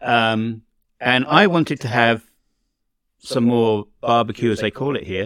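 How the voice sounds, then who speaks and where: A man's medium-pitched voice with an English accent, fairly slow with long, frequent pauses and ordinary pitch variation, in a dry, close sound with no echo. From England. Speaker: podcast host. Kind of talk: casual chat.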